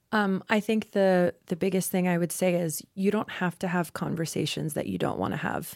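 A woman with an American accent speaks at a fairly low pitch in a flat monotone, with hardly any pauses. The recording is very clean, the background silent. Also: moderate pace. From North Carolina. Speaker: journalist. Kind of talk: group discussion. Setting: studio.

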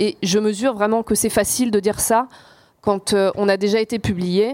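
An unremarkable speaking voice at a fairly slow pace, on a very clean recording with a silent background. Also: woman. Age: 40s. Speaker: journalist and author. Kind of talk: live panel discussion. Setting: stage with audience.

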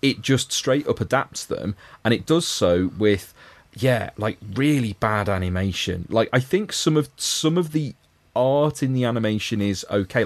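Lively intonation from a man with a Liverpool accent, medium pitch and a moderate pace, set against a quiet background. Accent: Scouse. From Liverpool, England. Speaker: podcast co-host. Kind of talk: casual chat.

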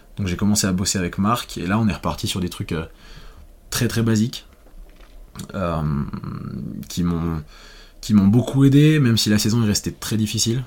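A man talks at a fairly low pitch and a moderate pace, with ordinary pitch variation and long, frequent pauses. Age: 20s. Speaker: former cross-country skier. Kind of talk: interview. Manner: hesitant.

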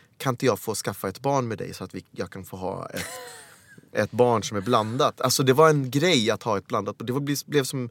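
A man with an ordinary speaking voice talks at a moderate pace, with medium pitch and ordinary pitch variation. The sound is dry and close with no echo, and the recording is very clean with a silent background. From Sweden, Helsingborg (born in Uganda). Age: 40s. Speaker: actor. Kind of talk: casual chat.

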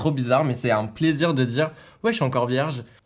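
A man's voice with ordinary pitch variation over music in the background. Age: 20s. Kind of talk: casual chat.

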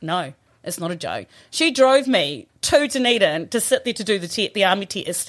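In a very clean recording with a silent background, a woman with a southern New Zealand accent speaks at a moderate pace and medium pitch, her voice making very wide pitch swings. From New Zealand, Southland (Riverton). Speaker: former rugby player and coach. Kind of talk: casual chat. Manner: animated.

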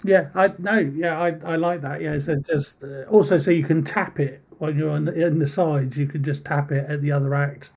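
At a moderate pace and with hardly any pauses, a man speaks in a fairly high, somewhat breathy voice with fairly even intonation. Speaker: podcast interviewer. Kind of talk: casual interview chat.

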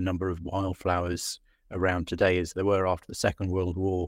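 A man with an English accent speaks at a fairly quick pace in a very deep, low pitch. The recording is very clean with a silent background and a dry, close sound with no echo. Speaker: interviewer and producer. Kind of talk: casual interview.

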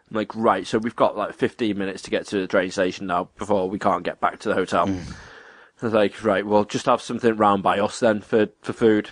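This man has a fairly low voice and an English accent, talking at a fairly quick pace in a monotone, flat intonation against a quiet background. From England. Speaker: podcast co-host. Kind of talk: casual chat.

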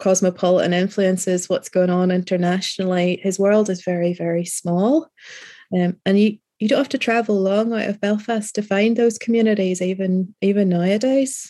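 A woman with a Northern Irish accent speaks at a moderate pace in a dark, mellow tone, her loudness very even and her intonation fairly even, on a very clean recording with a silent background. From Northern Ireland, rural. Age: 40s. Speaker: novelist. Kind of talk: interview.

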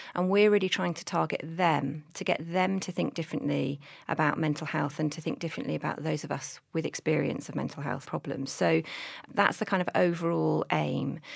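A speaker with a British accent shows vocal fry and ordinary pitch variation on a very clean recording with a silent background. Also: woman, very deep, low pitch for a woman, fairly quick pace. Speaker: mental health charity director. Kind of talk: interview chat.

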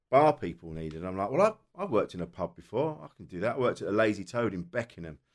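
A man with a southern English accent talks very fast with hardly any pauses and a fairly low pitch. His voice moves through very wide pitch swings and big swings in loudness. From South East England. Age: 40s. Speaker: comedian. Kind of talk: casual chat.

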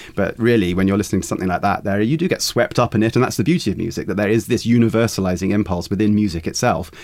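Speaking at a very fast pace with hardly any pauses, a man with a fairly low pitch shows ordinary pitch variation. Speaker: pop music critic. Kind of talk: interview. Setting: studio.

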